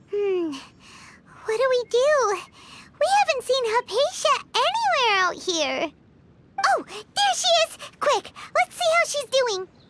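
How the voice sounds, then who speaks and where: Put-on character voice, squeaky and extremely high-pitched, with long, frequent pauses. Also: fairly slow pace. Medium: video game. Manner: chatty, excitable.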